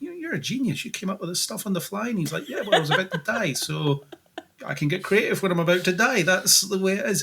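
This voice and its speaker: A man speaks in a Scottish accent. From Scotland. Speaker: podcast co-host. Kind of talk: casual podcast discussion.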